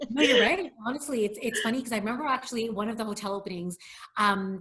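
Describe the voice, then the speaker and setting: A woman's fairly high voice with ordinary pitch variation and a Canadian accent, over noticeable background noise. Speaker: hotel executive. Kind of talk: interview. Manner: fast.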